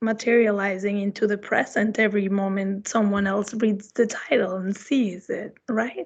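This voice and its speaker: Speaking with a Spanish accent, a woman uses ordinary pitch variation. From Mexico, Mexico City. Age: 30s. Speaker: visiting artist. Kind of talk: artist talk Q&A.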